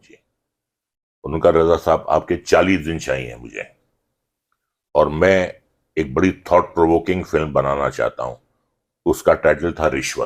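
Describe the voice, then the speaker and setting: Long, frequent pauses and big swings in loudness mark this man's speech on a very clean recording with a silent background. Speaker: actor. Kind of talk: interview answer.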